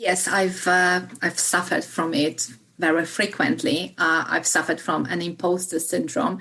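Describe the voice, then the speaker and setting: A woman with a Polish accent speaks at a moderate pace, her fairly low voice bright and sharp in tone. Her intonation is lively, and she hardly pauses at all. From Poland. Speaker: solicitor. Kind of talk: interview. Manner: halting, many fillers.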